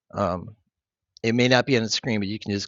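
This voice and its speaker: A man with vocal fry speaks at a fairly quick pace. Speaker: math teacher. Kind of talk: tutorial. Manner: casual, with fillers.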